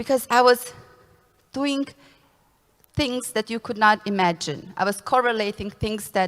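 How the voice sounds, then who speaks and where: With a non-native accent, a woman speaks at a moderate pace using ordinary pitch variation. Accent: foreign. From Bosnia and Herzegovina, Srebrenik area. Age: 20s. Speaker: consultant. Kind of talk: conference talk.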